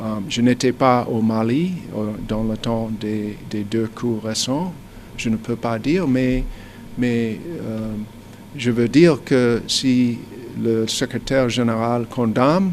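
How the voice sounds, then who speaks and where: Speaking very slowly, a man leaves long, frequent pauses, his medium pitch moving with ordinary variation. Background noise is noticeable. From United States. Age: 60s. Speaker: businessman. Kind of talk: interview. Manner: halting, frequent hesitations.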